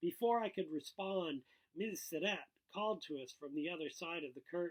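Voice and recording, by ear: A man speaks at a moderate pace. His pitch is fairly high, with ordinary variation.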